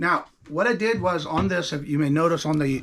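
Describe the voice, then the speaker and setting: This man has a fairly high voice and lively intonation. He talks at a moderate pace. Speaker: quilting tutorial maker. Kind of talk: tutorial. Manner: casual; halting, many fillers and restarts.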